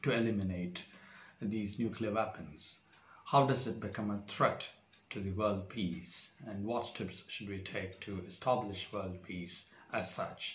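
A somewhat breathy man at a fairly slow pace, with audible room echo and light background noise. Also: fairly low pitch for a man, ordinary pitch variation. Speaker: exam preparation tutor. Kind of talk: tutorial. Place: home room. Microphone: lapel.

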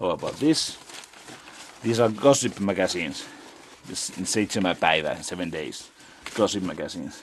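A man with a Finnish accent, fairly low in pitch, lively in intonation, at a moderate pace with long, frequent pauses over light background noise. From Finland. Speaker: urban explorer vlogger. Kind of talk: casual solo vlog narration. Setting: outdoors, exploring abandoned building. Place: home room. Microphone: phone near.

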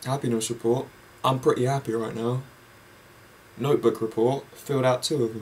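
A man with an English accent speaks in a flat monotone that is somewhat breathy, at a fairly quick pace. He takes long, frequent pauses, with light background noise. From England. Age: young. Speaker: vlogger. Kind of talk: casual monologue; casual vlog chat. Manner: rambling, halting. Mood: relaxed, rambling, happy. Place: home room. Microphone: webcam.

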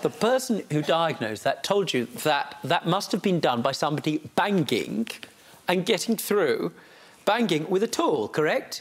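Keeping his loudness very even, a man with a high pitch moves through very wide pitch swings at a moderate pace. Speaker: TV judge. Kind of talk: courtroom TV show questioning. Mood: wry, exasperated, playful. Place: studio.

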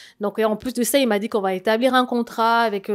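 A woman speaks at a moderate pace with a fairly high pitch. Her intonation is fairly even, and the background is quiet. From Congo. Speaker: scam victim; interview guest. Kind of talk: testimony. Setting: studio. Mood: earnest, recounting a scam. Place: studio. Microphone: handheld.

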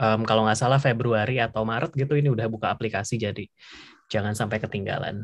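A man speaks at a very fast pace with fairly even intonation against a quiet background. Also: medium pitch for a man. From Indonesia. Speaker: webinar moderator, scholarship alumnus; webinar moderator. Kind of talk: casual webinar moderation. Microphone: video call.

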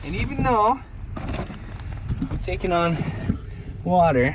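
A man speaks slowly in a high pitch, with big pitch swings. Background noise is clearly audible.

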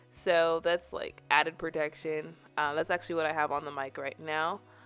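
Over faint music in the background, a woman with a very deep, low pitch speaks with fairly even intonation. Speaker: product reviewer vlogger. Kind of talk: casual unboxing review chat. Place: home room. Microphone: studio mic.

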